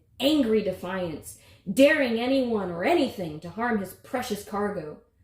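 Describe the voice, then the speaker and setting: A woman speaks with lively intonation at a fairly high pitch, and there is noticeable background noise. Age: 30s. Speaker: author. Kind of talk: reading aloud.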